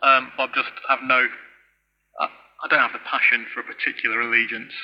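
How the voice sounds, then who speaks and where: A man with a northern English accent. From Stoke-on-Trent, English Midlands. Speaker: cricket radio commentator. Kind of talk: live commentary.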